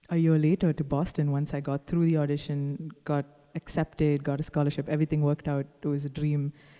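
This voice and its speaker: In a Tamil accent, a woman speaks at a fairly quick pace with a very deep, low pitch, a dark, mellow tone and monotone, flat intonation, the sound dry and close with no echo. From Dubai, Indian family from Kerala. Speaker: singer-songwriter. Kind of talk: interview.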